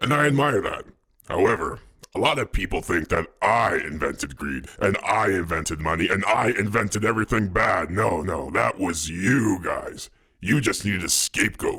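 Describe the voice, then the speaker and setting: Putting on a character voice, a man speaks at a fairly low pitch and a moderate pace. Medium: audio drama. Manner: casual, conversational.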